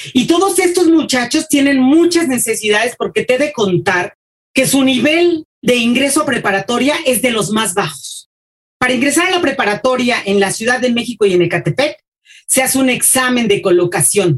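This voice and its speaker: A woman speaks with a high pitch and very wide pitch swings. Her pace is moderate and her loudness stays very even. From Mexico City. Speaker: school supervisor and teacher. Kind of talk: interview.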